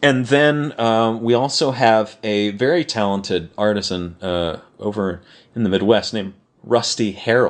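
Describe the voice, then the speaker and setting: A man speaks in a Californian accent. His pace is fairly slow. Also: medium pitch for a man, ordinary pitch variation. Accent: General American (Californian). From Los Angeles, California. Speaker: prop maker and car restorer. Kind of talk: casual interview chat.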